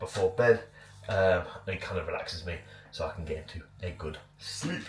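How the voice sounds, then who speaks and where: A man is speaking. Music plays in the background. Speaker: bodybuilding vlogger. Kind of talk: casual vlog. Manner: casual, filler-heavy.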